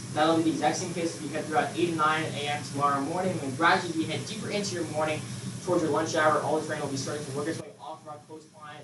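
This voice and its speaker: Speaking very fast in an American accent, a man with a fairly high pitch keeps his intonation fairly even amid audible room echo. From US South. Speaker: meteorologist. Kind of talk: weather forecast. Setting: broadcasting lab. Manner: slightly halting, self-correcting. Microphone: built-in computer microphone, poor sound.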